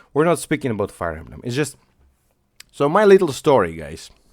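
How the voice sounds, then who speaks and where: A man's voice at a moderate pace, with vocal fry and very wide pitch swings. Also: long, frequent pauses, big swings in loudness. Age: 30s. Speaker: YouTuber. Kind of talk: casual chat. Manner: halting.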